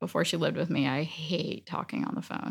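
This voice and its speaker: In a very clean recording with a silent background, a woman's fairly low voice carries a bright, sharp tone and vocal fry. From Dominican Republic. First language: Spanish. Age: 40s. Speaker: photography client. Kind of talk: casual interview. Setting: photo studio.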